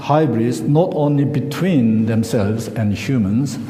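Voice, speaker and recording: A man speaks with a Korean accent. Room echo is audible, and background noise is noticeable. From South Korea. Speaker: lecturer. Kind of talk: lecture. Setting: stage with audience. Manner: halting.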